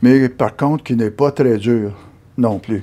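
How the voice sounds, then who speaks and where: A man with a dark, mellow tone speaks at medium pitch. His intonation is lively and his pace fairly slow. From Quebec, Gatineau (Hull), Outaouais. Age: 70s. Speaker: amateur sculptor. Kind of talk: interview testimony. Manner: halting, with fillers.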